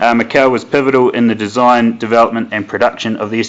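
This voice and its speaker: This man speaks with a New Zealand accent. His medium-pitched voice moves at a fairly quick pace. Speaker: product manager, webinar host. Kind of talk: webinar presentation. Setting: online webinar. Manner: hesitant, many fillers.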